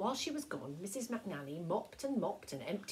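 The text is read aloud in a natural voice.

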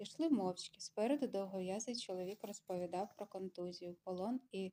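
This reading voice is unforced, and its pitch moves in an ordinary way.

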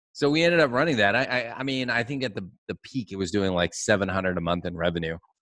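Over a quiet background with a dry, echo-free sound, a man speaks in a fairly low voice at a very fast pace, with lively intonation and hardly any pauses. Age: 40s. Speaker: podcast host, agency owner; podcast host. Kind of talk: casual interview chat. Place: studio. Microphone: studio mic.

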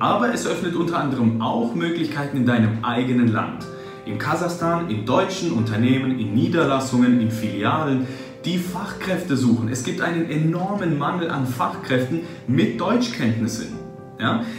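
Clear music plays behind a man speaking at a moderate pace and medium pitch, with audible room echo. His intonation is lively. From Germany. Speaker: translator, interpreter, voice actor, German teacher. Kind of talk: interview answer. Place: office.

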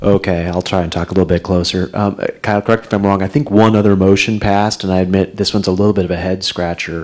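Over a quiet background, the speaker rushes at a very fast pace in a monotone, flat intonation with hardly any pauses. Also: man, very deep, low pitch for a man. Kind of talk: meeting report. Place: meeting room. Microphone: podium.

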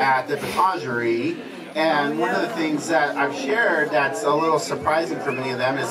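A man talks at a moderate pace with ordinary pitch variation over loud background noise. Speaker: guest. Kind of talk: informal speech to reunion guests. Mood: warm, smiling, grateful. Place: garden.

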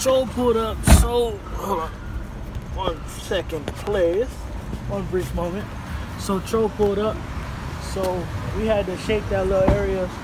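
Loud background noise fills the clip as a man speaks at a fairly slow pace with long, frequent pauses. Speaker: vlogger. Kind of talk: casual vlog chat. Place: station. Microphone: phone near.

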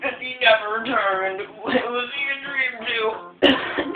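Pitch shifts in an ordinary way. The reading voice is unforced.

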